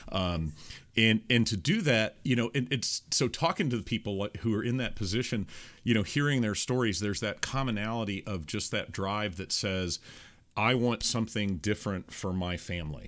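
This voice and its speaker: In a very clean recording with a silent background, a man speaks at a moderate pace. His voice is an unremarkable speaking voice, fairly low in pitch, with ordinary pitch variation. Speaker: podcast host. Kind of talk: podcast interview talk.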